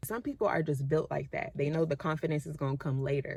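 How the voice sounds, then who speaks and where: A woman speaks at a fairly quick pace in an animated tone with a very deep, low pitch. The recording is very clean, with a silent background. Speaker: vlogger. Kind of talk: casual motivational vlog monologue. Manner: fast.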